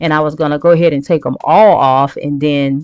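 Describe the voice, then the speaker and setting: With music in the background, the speaker talks in a Southern US accent. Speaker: DIY video creator. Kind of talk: tutorial. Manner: casual, hesitant with many fillers.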